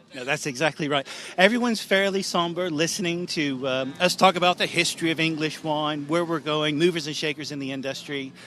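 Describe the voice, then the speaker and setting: Using an American accent, a man with an unremarkable speaking voice talks at a fairly quick pace with hardly any pauses, his fairly high pitch showing ordinary variation. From US, Northern California. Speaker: wine tour operator. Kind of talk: radio interview.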